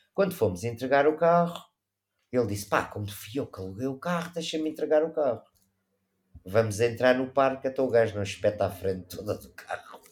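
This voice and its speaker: The voice moves at a fairly quick pace. Its intonation is lively. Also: man, medium pitch for a man. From Portugal. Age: 50s. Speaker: travel photographer. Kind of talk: casual chat. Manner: animated.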